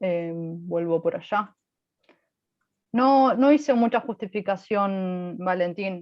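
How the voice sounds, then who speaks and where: Long, frequent pauses break up a woman's very slow speech. Her medium-pitched voice has lively intonation. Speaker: physics lecturer. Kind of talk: lecture.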